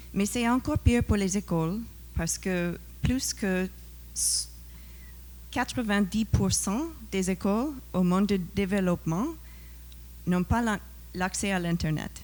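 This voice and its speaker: A woman with a non-native accent at a fairly slow pace, with long, frequent pauses, on a very clean recording with a silent background. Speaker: professor, NGO founder. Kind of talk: panel discussion, partly from notes.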